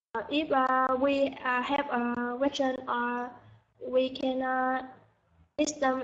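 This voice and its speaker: A woman's high-pitched voice, very slow and monotone, with flat intonation. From Vietnam, Dong Nai. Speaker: university student. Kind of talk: class answer. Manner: halting.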